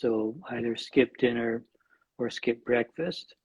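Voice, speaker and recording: A man's medium-pitched voice with a Scottish accent. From Scotland, Glasgow. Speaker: nutrition scientist and author. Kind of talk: interview.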